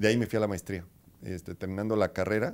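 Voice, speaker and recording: The man's intonation is fairly even. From Mexico, State of Mexico (Zinacantepec, near Toluca); State of Mexico. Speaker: finance executive; interviewee. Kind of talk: interview. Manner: halting, many fillers. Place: office.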